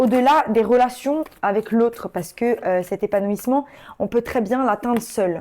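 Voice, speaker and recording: A woman with a dark, mellow tone and a fairly high pitch talks at a moderate pace with ordinary pitch variation, recorded very cleanly against a silent background. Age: 30s. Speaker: tarot reader. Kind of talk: tarot reading. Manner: casual, hesitant with many fillers.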